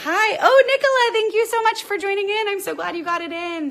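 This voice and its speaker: A woman speaks in a raised, projected voice at an extremely high pitch. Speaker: Pilates instructor. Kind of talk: live stream Q&A; guided exercise class. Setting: home live stream.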